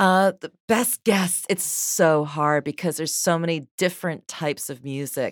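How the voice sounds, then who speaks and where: A woman with an unremarkable speaking voice and ordinary pitch variation, hardly any pauses, a dry, close sound with no echo and a very clean recording with a silent background. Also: fairly low pitch for a woman. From New York, US. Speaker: DJ and radio host. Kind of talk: casual chat.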